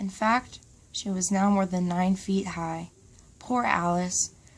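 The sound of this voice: An unforced reading voice carries the whole passage.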